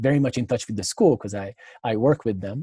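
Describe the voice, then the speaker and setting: In a Hungarian accent, a man speaks with a dark, mellow tone at a medium pitch, on a very clean recording with a silent background. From Hungary, Budapest. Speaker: tennis coach. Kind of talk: interview. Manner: halting, many fillers.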